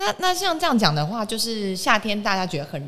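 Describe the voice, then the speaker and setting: A woman talks at a fairly quick pace. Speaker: podcast host. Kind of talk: casual health interview. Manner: animated.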